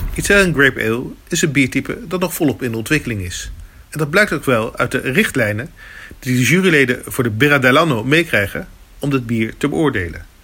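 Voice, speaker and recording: A man talks at a very fast pace in a medium pitch. His tone is bright and sharp. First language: Dutch. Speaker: beer video presenter. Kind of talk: documentary narration. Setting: on location at a beer competition.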